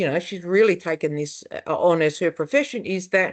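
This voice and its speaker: A woman with an Australian accent, medium pitch and moderate pace, over a quiet background. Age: 60s. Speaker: family therapist. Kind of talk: webinar panel discussion. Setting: online webinar. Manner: conversational, with fillers and restarts.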